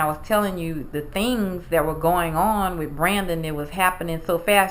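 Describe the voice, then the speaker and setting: A woman speaks at a moderate pace in a fairly low pitch with fairly even intonation over noticeable background noise. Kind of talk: casual interview conversation.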